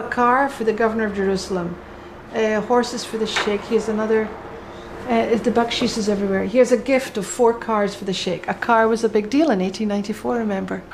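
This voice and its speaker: Amid noticeable background noise, a woman speaks very fast at a fairly high pitch with fairly even intonation. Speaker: winery guide, expert on the winery's history. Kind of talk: casual interview answer.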